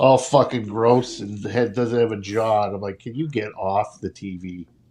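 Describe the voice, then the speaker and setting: A man of medium pitch talks at a moderate pace with fairly even intonation. His loudness swings widely over noticeable background noise. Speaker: sports podcast co-host. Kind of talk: casual chat.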